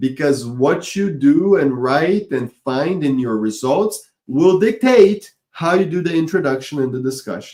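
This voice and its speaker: Speaking with a non-native accent, a man with a dark, mellow tone and fairly high pitch talks at a fairly slow pace with lively intonation and hardly any pauses. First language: not English. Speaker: online course instructor. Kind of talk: webinar lecture.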